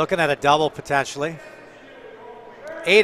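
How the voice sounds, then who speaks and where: A man with a Canadian accent, fairly high pitch, fairly even intonation and a fairly quick pace, over noticeable background noise. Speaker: curling commentator. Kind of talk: live commentary.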